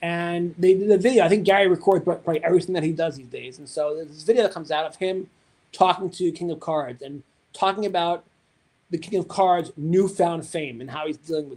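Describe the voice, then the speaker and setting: Delivered at a very fast pace with an American accent, the voice shows ordinary pitch variation and big swings in loudness. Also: man, high pitch for a man. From New York. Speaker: card collecting livestream host. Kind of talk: livestream casual chat. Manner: animated, enthusiastic.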